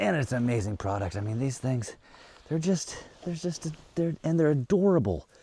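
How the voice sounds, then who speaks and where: A man of medium pitch speaks at a moderate pace in a somewhat breathy, dark, mellow tone, with very wide pitch swings. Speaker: off-grid homesteader vlogger. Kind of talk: casual outdoor vlog narration. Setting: outdoors. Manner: casual, animated; whispering at times.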